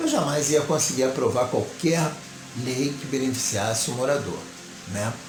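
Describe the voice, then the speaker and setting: Music in the background, a man at medium pitch, a fairly slow pace and audible room echo. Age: 60s. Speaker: local political candidate and commentator. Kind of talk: political commentary monologue.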